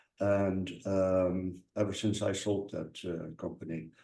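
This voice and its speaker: A dark, mellow tone comes through in a Dutch accent. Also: man. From Netherlands. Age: 50s. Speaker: data analyst. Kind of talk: interview.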